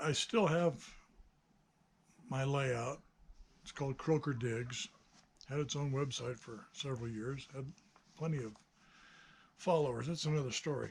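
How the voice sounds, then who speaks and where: This man's fairly high, somewhat breathy voice moves at a moderate pace with ordinary pitch variation and long, frequent pauses. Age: 60s. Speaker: hobbyist builder and video maker. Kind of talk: casual monologue. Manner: hesitant, many fillers.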